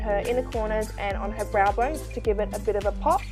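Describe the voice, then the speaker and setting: A woman talks at a very fast pace with an Australian accent. Music plays in the background. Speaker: makeup artist. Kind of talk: makeup tutorial voiceover.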